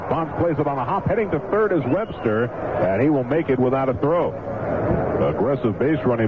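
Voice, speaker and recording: A man speaks with lively intonation. Noticeable background noise runs behind him. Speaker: radio baseball announcer. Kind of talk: radio baseball play-by-play.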